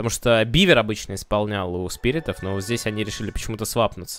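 An unremarkable speaking voice from a man, medium in pitch, at a fairly quick pace. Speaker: esports commentator. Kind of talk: live esports commentary. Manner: excited, brisk play-by-play.

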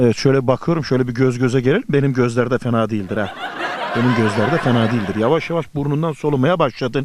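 A man at medium pitch and a fairly quick pace, with ordinary pitch variation and noticeable background noise. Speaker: TV travel show host. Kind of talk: TV travel show presenting, street interview. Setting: outdoors. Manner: upbeat, cheerful.

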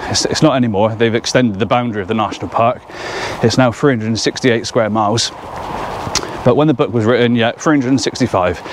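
Against noticeable background noise, a man speaks at a moderate pace with ordinary pitch variation, and the sound is dry with no echo. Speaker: hiker vlogger. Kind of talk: casual vlog chat. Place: open country. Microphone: phone near.

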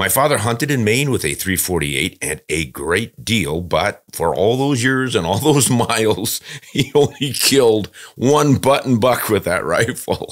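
Lively intonation and vocal fry from a man at a fairly slow pace against a quiet background. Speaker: podcast host. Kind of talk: podcast reading and commentary. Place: studio. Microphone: studio mic.

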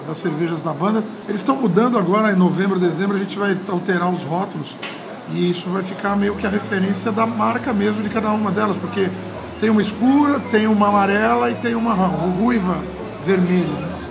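A man speaks in a high pitch with ordinary pitch variation. Noticeable background noise can be heard. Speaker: interviewee. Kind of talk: interview answer. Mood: relaxed, chatty. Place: bar. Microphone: handheld.

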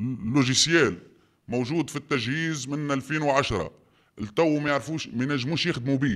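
This man's pitch is fairly high, with ordinary variation. He talks at a moderate pace. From Tunisia. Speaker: quarry business owner. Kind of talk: testimony. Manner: animated. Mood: indignant, accusing. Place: home room.

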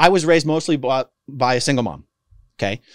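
A man with an American accent uses lively intonation and vocal fry, recorded with a dry sound with no echo and a quiet background. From United States. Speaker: former cult member turned activist and YouTuber; YouTuber. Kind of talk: casual interview. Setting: studio with microphone. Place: studio. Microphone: studio mic.

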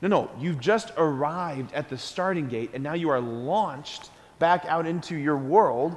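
Fairly high male voice, animated in tone, with ordinary pitch variation at a moderate pace. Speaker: priest. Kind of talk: school Mass homily to children. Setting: church. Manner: earnest, animated, conversational; repeats key phrases for emphasis, asks the kids questions. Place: church.

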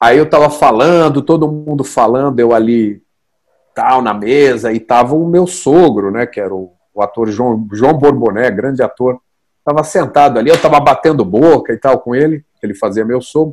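A man speaks at a moderate pace in a quiet setting. The variation in his pitch is ordinary. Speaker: stage actor guest. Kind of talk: interview answer, storytelling. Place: home room. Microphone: earbuds.

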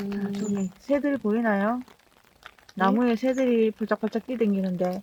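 A woman with a Gyeongsang accent speaks at a fairly slow pace in a fairly high pitch, her intonation fairly even, over noticeable background noise. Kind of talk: casual walking vlog chat.

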